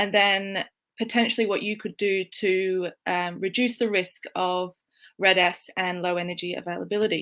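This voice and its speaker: A woman with an Australian accent, medium in pitch and bright and sharp in tone, speaks at a moderate pace with fairly even intonation in a very clean recording with a silent background. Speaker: strength and conditioning coach. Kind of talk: presentation.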